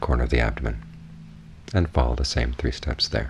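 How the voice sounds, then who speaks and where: Very deep, low male voice with an American accent at a very fast pace, plus noticeable background noise. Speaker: Buddhist monk, meditation teacher. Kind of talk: guided meditation instruction.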